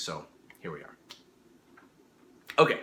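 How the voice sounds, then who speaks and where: There is noticeable background noise as a man speaks. Audible room echo also colors the recording. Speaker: miniature sculptor and YouTuber. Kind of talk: casual vlog update. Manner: halting, many fillers and restarts.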